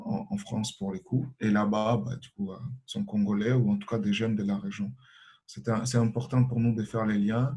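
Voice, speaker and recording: At a moderate pace, a man speaks with a fairly low, dark, mellow voice that is somewhat breathy and fairly even in intonation. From Congo. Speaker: association president, refugee activist. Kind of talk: panel self-introduction. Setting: webinar. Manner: hesitant, many fillers.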